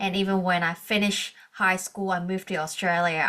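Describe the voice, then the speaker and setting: A woman with a Hong Kong accent speaks at a moderate pace, her medium-pitched voice carrying a bright, sharp tone. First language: Cantonese. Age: 30s. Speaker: coach and organizational psychologist. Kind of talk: podcast interview.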